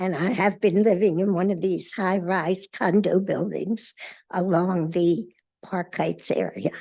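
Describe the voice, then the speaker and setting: A woman talks at a very slow pace with vocal fry. Her intonation stays fairly even. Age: 80s+. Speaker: condo resident. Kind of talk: legislative testimony. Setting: committee hearing.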